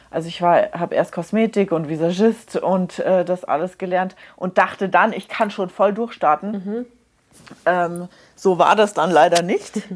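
A woman with a plain, everyday voice speaks at medium pitch and a fairly slow pace, her intonation fairly even. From Munich. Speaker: hairdresser and make-up artist, podcast co-host. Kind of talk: casual chat.

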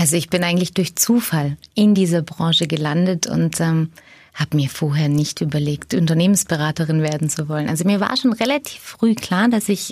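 A somewhat breathy woman talks at a moderate pace with ordinary pitch variation on a very clean recording with a silent background. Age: 40s. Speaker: management consultant. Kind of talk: podcast interview.

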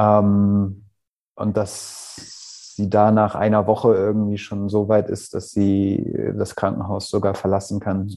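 Very slowly, a man speaks in a dark, mellow tone. His pitch is fairly low and his intonation monotone and flat. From Hamburg, northern Germany. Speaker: stress management coach. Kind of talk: personal testimony. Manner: halting.

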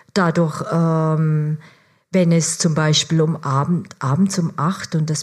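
A woman's fairly low, somewhat breathy voice at a very slow pace, fairly even in intonation, on a very clean recording with a silent background. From Germany. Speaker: foreign correspondent. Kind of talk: stage interview. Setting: stage with audience.

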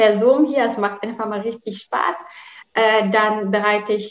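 A woman with a Polish accent has a fairly high pitch. She talks at a moderate pace. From Poland. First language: Polish (speaking German). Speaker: working mother and corporate employee. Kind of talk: interview.

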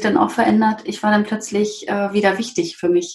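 Her voice sits fairly high. The woman talks at a moderate pace. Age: 40s. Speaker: green business networker, interview guest. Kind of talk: personal testimony in interview. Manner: hesitant, with fillers.

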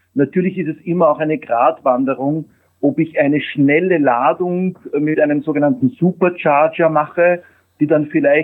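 With an unremarkable speaking voice, a man talks at a moderate pace in a fairly high pitch, using ordinary pitch variation. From Austria. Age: 50s. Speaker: mobility industry executive. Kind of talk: interview.

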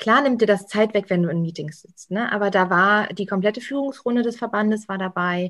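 A woman's normal speaking voice at medium pitch, with ordinary pitch variation, a moderate pace and big swings in loudness. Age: young. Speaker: association political strategy manager. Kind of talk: casual interview. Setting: at home.

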